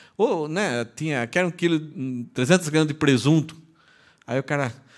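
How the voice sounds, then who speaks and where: A man speaks at a fairly quick pace with lively intonation and a fairly high pitch, on a very clean recording with a silent background. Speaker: pastor. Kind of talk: sermon. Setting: church. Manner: conversational.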